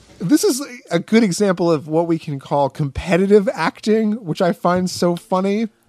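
Despite noticeable background noise, a man's high-pitched voice comes through in a dry, close sound with no echo. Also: ordinary pitch variation, moderate pace. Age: 30s. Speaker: podcast co-host. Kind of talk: casual chat.

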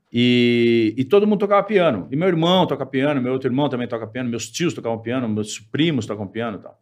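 Delivered at a fairly quick pace with hardly any pauses, an unremarkable speaking voice carries lively intonation. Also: man, medium pitch for a man. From São Paulo, Brazil. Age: 50s. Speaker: musician. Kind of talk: casual interview chat.

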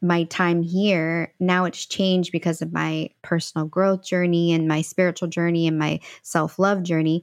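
Recorded with a dry, close sound and no echo, a woman with an American accent speaks in a monotone, flat way at a fairly low pitch. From St. Louis, Missouri. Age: 40s. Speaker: empowerment coach. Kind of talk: interview conversation.

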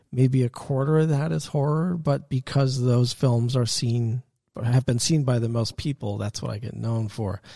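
A somewhat breathy, dark, mellow tone with an American accent, moderate pace and ordinary pitch variation, dry and close with no echo on a very clean recording with a silent background. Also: man, medium pitch for a man. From US Northeast, Westchester County, New York. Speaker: film and TV composer. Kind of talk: interview in his studio. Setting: recording studio.

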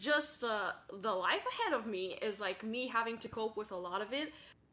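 A woman's fairly high voice with ordinary pitch variation, over noticeable background noise. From Eastern Europe, small town. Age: 20s. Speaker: stream guest seeking advice. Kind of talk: personal conversation about struggles. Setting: online stream call. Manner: halting, many fillers and repeats.

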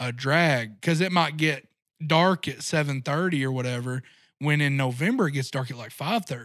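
An ordinary speaking voice from a man, fairly high in pitch with ordinary variation, in an American accent at a moderate pace, on a very clean recording with a silent background. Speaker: deer hunting guide and outdoor media creator. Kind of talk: casual interview.

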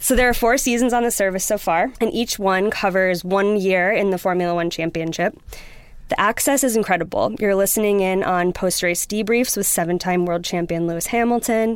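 A woman with an American accent and an ordinary speaking voice, medium pitch, ordinary pitch variation, fairly quick pace. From US Midwest, Wisconsin. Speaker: streaming company publicist. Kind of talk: show recommendation, partly scripted. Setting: studio.

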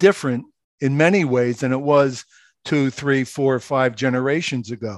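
A man with a Philadelphia accent, fairly high-pitched, at a fairly slow pace with ordinary pitch variation, in a very clean recording with a silent background. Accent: Philadelphia American. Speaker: author and radio host. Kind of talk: casual interview.

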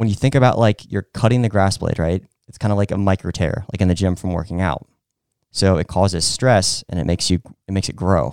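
Heard in a very clean recording with a silent background, a man with a fairly low pitch talks at a fairly quick pace in a normal speaking voice with ordinary pitch variation. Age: 30s. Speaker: host's husband, lawn care hobbyist. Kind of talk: casual chat.

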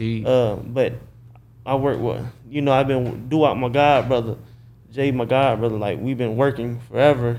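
Audible room echo surrounds a man of medium pitch who speaks in a flat monotone at a moderate pace. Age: 20s. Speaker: videographer. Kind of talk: casual chat.

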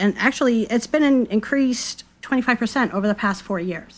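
A woman is speaking at a fairly high pitch. Her pitch varies in an ordinary way.

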